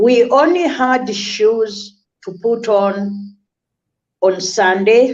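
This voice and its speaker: The speaker is a woman with a fairly high pitch. Her voice rises and falls with ordinary pitch variation. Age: 60s. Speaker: charity founder for orphans and burn victims. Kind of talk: interview storytelling.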